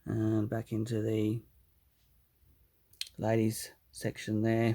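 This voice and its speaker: Relaxed in tone, a man with an Australian accent speaks at a medium pitch in a flat monotone at a very slow pace. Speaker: hobbyist model builder. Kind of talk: casual video walkthrough. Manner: relaxed, hesitant with fillers.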